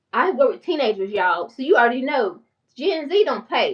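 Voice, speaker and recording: A strong Southern US accent in an animated, passionate tone with very wide pitch swings. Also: woman. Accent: strong country Southern. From North Carolina small town. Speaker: mental health therapist and finance YouTuber. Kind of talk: casual livestream talk. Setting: YouTube livestream. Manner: fast.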